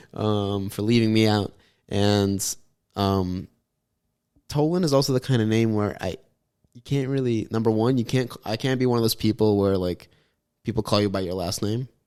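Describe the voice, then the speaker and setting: A man mumbles at a moderate pace in a dark, mellow tone, his pitch fairly low with ordinary variation. He takes long, frequent pauses, and the recording is very clean with a silent background. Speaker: comedy podcast co-host. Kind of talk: casual chat. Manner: mumbling.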